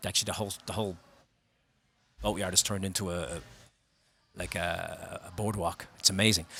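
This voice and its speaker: In a strong Belfast accent, a man talks at a fairly quick pace with very deep, low pitch and a bright, sharp tone. He leaves long, frequent pauses. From Northern Ireland, Belfast. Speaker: singer and actor. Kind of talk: casual chat. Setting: bar. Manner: animated.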